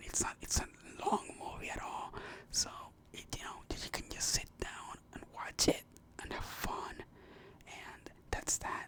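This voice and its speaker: Whispering at a fairly slow pace, the speaker leaves long, frequent pauses over noticeable background noise. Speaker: ASMR content creator. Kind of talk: ASMR movie review, casual rambling talk to camera. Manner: casual, rambling, conversational.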